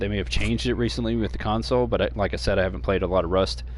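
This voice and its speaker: Audible room echo surrounds a man whose voice carries vocal fry. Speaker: gaming streamer. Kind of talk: gameplay tutorial. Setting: home stream. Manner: fast; hesitant, many fillers.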